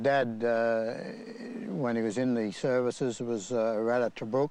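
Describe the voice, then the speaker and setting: Speaking with an Australian accent, a man uses a dark, mellow tone and flat, monotone intonation at a fairly slow pace. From Sydney, Australia. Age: 80s+. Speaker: former rugby league player. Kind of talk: interview reminiscence.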